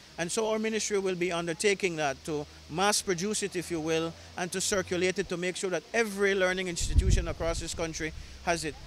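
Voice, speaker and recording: A man with a high pitch talks at a very fast pace with fairly even intonation. Noticeable background noise runs beneath him. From Belize. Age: 30s. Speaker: government minister. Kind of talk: news interview. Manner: halting.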